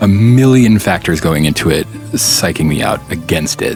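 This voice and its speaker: Music plays in the background as a man talks at a moderate pace. His fairly low voice has lively intonation. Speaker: voice actor. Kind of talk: casual talk to camera.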